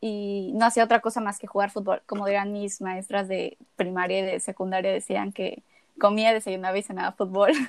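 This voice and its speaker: A woman's medium-pitched voice moves at a moderate pace, its intonation fairly even. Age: 20s. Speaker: eating disorder awareness advocate, law student. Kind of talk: interview, personal testimony.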